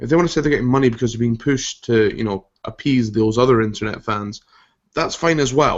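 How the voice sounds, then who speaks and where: A man with a Scottish accent, medium pitch, ordinary pitch variation and a fairly quick pace. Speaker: podcast host. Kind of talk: casual chat.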